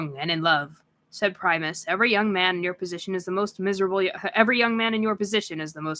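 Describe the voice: Someone does plain reading aloud, the pitch shifting in an ordinary way.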